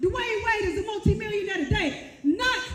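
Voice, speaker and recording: A woman with lively intonation at a moderate pace, over noticeable background noise. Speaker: motivational speaker. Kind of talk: commencement speech. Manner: preachy, emphatic.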